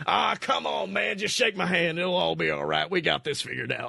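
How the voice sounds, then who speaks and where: Using a put-on character voice, a man talks in a raspy way at a moderate pace. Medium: read story. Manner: crude, chummy, fast-talking, wheedling.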